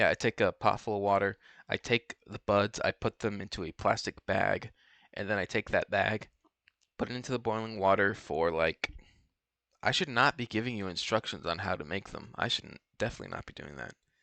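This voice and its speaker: Over a quiet background, a man talks at a fairly quick pace in a bright, sharp tone, fairly low in pitch with ordinary pitch variation and big swings in loudness, the sound dry and close with no echo. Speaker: gaming streamer. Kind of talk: casual chat. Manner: rambling, halting.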